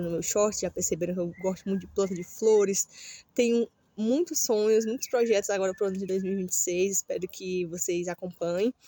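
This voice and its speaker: In a dry, close sound with no echo, a woman with a medium pitch and a dark, mellow tone speaks with fairly even intonation and hardly any pauses. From Brazil, Ceará (Northeast). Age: 30s. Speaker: vlogger. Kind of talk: casual vlog monologue. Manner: halting, many fillers.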